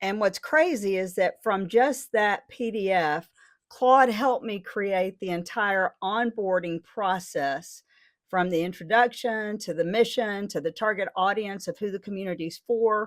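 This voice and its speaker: This fairly slow delivery in an unremarkable speaking voice has ordinary pitch variation and comes on a very clean recording with a silent background. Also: woman, medium pitch for a woman. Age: 60s. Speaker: AI educator and community founder. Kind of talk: tutorial. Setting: home studio.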